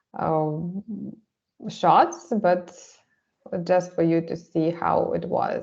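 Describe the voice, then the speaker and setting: Very slow delivery broken by long, frequent pauses. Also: woman. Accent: Russian. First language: Russian. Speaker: artist presenting a photo project. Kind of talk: seminar presentation. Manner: halting, many fillers.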